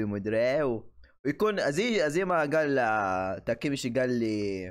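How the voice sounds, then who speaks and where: A man talks at a moderate pace, and the background is quiet. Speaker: anime reactor. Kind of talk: casual reaction commentary. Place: home room.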